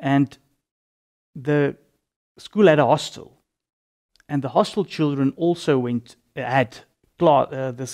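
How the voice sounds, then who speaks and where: This man has a fairly high voice and talks at a fairly slow pace. The background is quiet. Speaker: religious convert giving testimony; interview guest. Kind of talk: testimony. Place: studio. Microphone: lapel.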